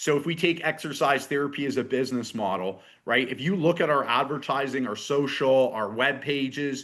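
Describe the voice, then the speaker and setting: With a normal speaking voice, a man talks at a fairly quick pace in a fairly high pitch, with hardly any pauses. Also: ordinary pitch variation. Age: 40s. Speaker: fitness business coach. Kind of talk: online workshop.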